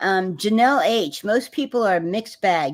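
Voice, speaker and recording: In a very clean recording with a silent background, a woman with an American accent and an unremarkable speaking voice talks fairly slowly at a medium pitch with lively intonation. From Texas. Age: 60s. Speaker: livestream host. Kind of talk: livestream discussion.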